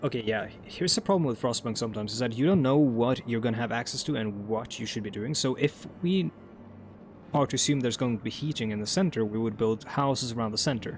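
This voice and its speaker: With a Norwegian accent, a man talks at a very fast pace with ordinary pitch variation. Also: medium pitch for a man. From Norway. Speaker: gaming YouTuber. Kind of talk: let's play commentary. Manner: rambling with many fillers.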